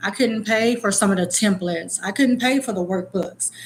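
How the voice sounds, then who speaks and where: Somewhat breathy, a woman's medium-pitched voice shows ordinary pitch variation. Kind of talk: casual vlog talk. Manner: casual, occasionally tongue-tied.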